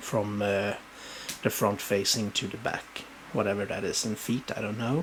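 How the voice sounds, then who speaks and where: A man talks with a Swedish accent at a fairly low pitch, his intonation fairly even. Noticeable background noise can be heard. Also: moderate pace. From Sweden. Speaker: booktuber showing book collection. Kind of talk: casual show-and-tell video. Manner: halting, many fillers.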